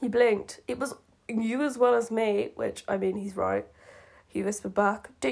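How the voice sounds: The clip has a natural reading voice.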